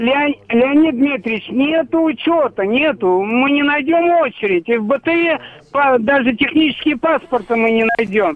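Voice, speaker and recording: A man with an extremely high voice talks fairly slowly, with ordinary pitch variation and noticeable background noise. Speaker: caller. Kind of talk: phone-in question. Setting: phone call.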